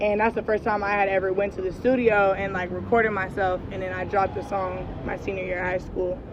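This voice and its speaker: Noticeable background noise sits behind a woman who speaks with hardly any pauses. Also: medium pitch for a woman. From Oakland, California. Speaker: rapper. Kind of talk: interview. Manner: casual, filler-heavy.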